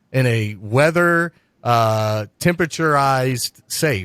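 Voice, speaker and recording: In an American accent, a man with an ordinary speaking voice speaks at medium pitch with lively intonation, the sound dry and close with no echo. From US Midwest, Cincinnati area. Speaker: podcast host. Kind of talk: podcast interview. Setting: video call.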